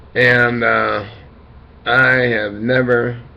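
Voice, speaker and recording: Medium-pitched male speech with audible room echo, noticeable background noise underneath. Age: 60s. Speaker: dialysis patient vlogger. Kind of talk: casual monologue. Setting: webcam recording. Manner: halting.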